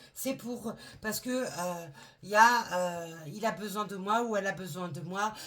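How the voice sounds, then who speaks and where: Speaking at a fairly slow pace, a woman with a medium pitch uses lively intonation. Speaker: tarot reader. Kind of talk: tarot reading. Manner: halting.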